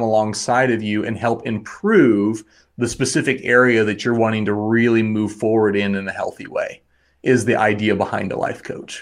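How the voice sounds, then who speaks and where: A man with an American accent and an unremarkable speaking voice, medium in pitch and moderate in pace, on a very clean recording with a silent background. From Wyoming, US. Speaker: life coach and therapist. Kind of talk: casual interview.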